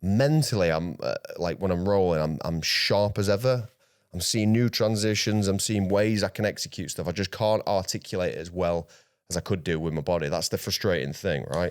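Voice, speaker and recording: A man speaks fairly quickly with a South Yorkshire accent and a fairly low pitch. The recording is very clean, with a silent background. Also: ordinary pitch variation. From South Yorkshire, England. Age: 30s. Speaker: grappling athlete. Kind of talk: casual interview chat.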